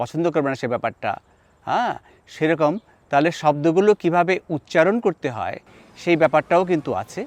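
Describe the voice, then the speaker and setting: A man with a normal speaking voice speaks at a fairly high pitch with ordinary pitch variation. The sound is dry and close with no echo, and the background is quiet. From Bangladesh, Chittagong. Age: 60s. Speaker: linguist and professor. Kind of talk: personal monologue to camera.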